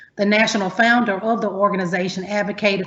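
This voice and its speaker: A woman speaks with a Southern US accent at a medium pitch. Her voice is somewhat breathy and her pace fairly quick. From US Deep South. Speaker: university academic, panelist. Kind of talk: prepared panel remarks. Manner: formal.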